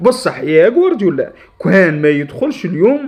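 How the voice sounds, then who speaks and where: A man with an Algerian accent, high pitch, very wide pitch swings and a moderate pace, over music in the background. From Algeria, Djelfa region. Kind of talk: satirical football rant to camera. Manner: heated, pleading.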